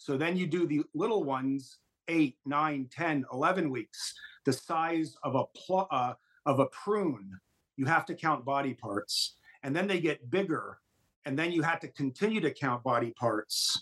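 With a plain, everyday voice and an American accent, a man speaks fairly slowly at a fairly high pitch, his intonation lively and the sound dry and close with no echo. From New Jersey. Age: 60s. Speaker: doctor. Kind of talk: interview testimony.

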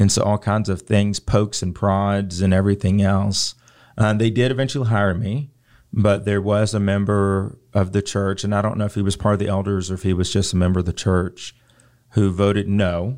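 A man's fairly low-pitched voice with an American accent, monotone, flat intonation, a moderate pace, and a very clean recording over a silent background. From Richmond, Virginia. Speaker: insurance agency owner, lay preacher. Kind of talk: casual chat.

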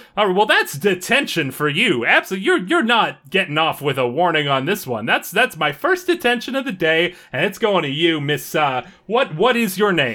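A man puts on a gruff, high-pitched character voice with very wide pitch swings, mumbling at a moderate pace. The recording is very clean, with a silent background. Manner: mumbling, gruff.

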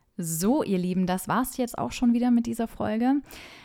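A woman speaks with lively intonation and an enthusiastic tone. The recording is very clean, with a silent background. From Franconia, Germany. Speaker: travel journalist and podcast host. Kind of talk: scripted travel podcast narration.

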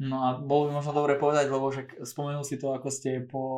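Speaking at a fairly quick pace, a man with a fairly high pitch keeps his intonation monotone and flat. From southern Slovakia, Rimavská Sobota area. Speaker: podcast host, physiotherapist. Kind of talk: casual interview.

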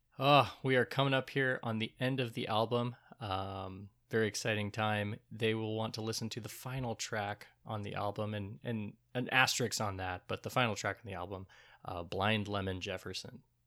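A man with an American accent speaks at a moderate pace, his pitch fairly low and his intonation fairly even. His tone is bright and sharp, on a very clean recording with a silent background. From US Midwest (Troy, Michigan). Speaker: podcast co-host. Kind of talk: casual chat.

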